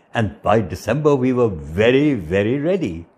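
Speaking at a moderate pace, a man with a medium pitch has a slightly mellow tone and a slightly husky edge.

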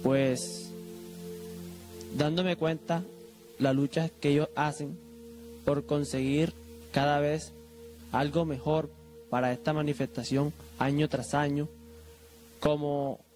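A man speaks very slowly with long, frequent pauses and ordinary pitch variation while faint music plays in the background. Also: very even loudness. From Colombia. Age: young. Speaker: religious festival volunteer and image restorer. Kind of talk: interview answer. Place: hall. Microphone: handheld.

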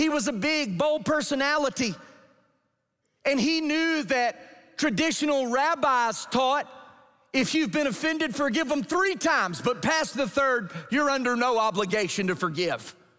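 Over a quiet background, a man with an American accent uses an extremely high, bright, sharp, raised and projected voice with lively intonation at a fairly slow pace. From Georgia, US South. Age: 40s. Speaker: pastor. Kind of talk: sermon. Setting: church. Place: church.

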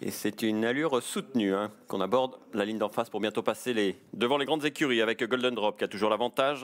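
On a very clean recording with a silent background, a man talks at medium pitch. His pace is very fast. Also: ordinary pitch variation. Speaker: race commentator. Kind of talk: live horse race commentary. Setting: racecourse. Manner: fast, animated, rising excitement as the finish nears; rapid-fire, fluent, with occasional hesitations.

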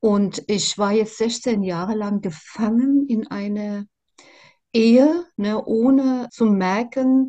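The pace is very slow, with a somewhat breathy quality and ordinary pitch variation. The background is quiet. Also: woman. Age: 60s. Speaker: interviewee sharing personal experience; interviewee. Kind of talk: testimony; interview answer. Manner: halting, many fillers. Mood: reflective, earnest. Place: home room. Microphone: video call.

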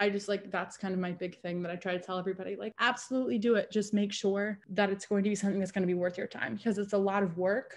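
A woman speaks very fast with hardly any pauses and fairly even intonation. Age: 20s. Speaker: online content creator, sex worker; interviewee, online content creator. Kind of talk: interview. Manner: casual, filler-heavy. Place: home room. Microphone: video call.

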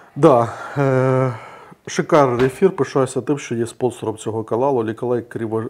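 A man speaks in a medium pitch at a moderate pace. His pitch variation is ordinary. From Ukraine. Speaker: online talk show host. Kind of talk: panel discussion on economics and politics. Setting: studio. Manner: hesitant, many filler sounds. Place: studio.

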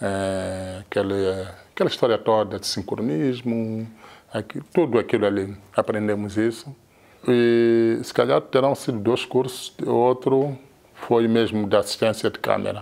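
Fairly slow, medium-pitched speech from a man, his pitch varying in an ordinary way. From Mozambique, Maputo; Mozambique. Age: 50s. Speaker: cinema camera assistant. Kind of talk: interview. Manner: halting. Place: office. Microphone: lapel.

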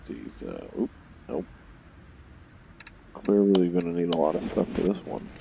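The voice moves at a fairly slow pace, with long, frequent pauses and very wide pitch swings. Noticeable background noise runs underneath. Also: man, very deep, low pitch for a man. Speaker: gaming video creator. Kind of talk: gameplay commentary.

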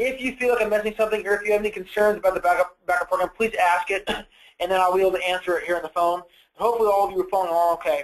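Speaking at a very fast pace, a man keeps a high pitch, fairly even intonation and very even loudness. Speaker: software product trainer. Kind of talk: product demo webinar.

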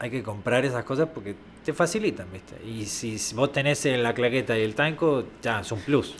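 The speaker talks at a moderate pace with ordinary pitch variation over light background noise. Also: man. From Argentina. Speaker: location sound recordist; podcast guest. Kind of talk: casual chat. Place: studio. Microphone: studio mic.

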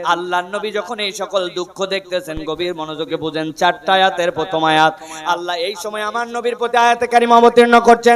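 A man with a high pitch speaks in an animated tone with ordinary pitch variation. Noticeable background noise is present. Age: 30s. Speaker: Islamic preacher. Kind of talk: sermon.

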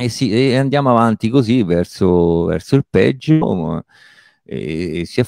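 Against a quiet background, a man speaks very slowly in a fairly low pitch with a dark, mellow tone and lively intonation, the sound dry with no echo. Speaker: stand-up comedian. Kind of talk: interview answer. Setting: video call. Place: home room. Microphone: handheld.

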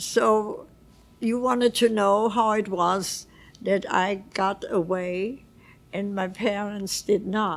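A woman's medium-pitched voice at a very slow pace with fairly even intonation. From Vienna, Austria; Austria. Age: 80s+. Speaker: Holocaust survivor. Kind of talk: interview answer. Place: home room. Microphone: lapel.

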